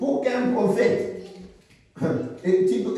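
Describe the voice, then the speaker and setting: Intonation here is lively. Audible room echo surrounds the voice. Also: man. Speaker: preacher. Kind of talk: sermon. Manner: slow; halting, repetitive.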